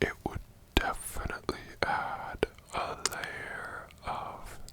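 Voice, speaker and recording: A man whispering at a very slow pace in a relaxed tone, with noticeable background noise. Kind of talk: ASMR video, casual talk to camera. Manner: slow, relaxed.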